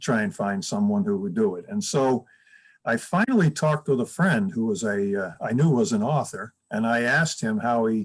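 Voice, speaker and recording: The speaker has an American accent and a fairly slow pace. Pitch swings very widely throughout. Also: man. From upstate New York. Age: 70s. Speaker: retired school counselor and author. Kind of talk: interview. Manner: halting, many fillers and restarts.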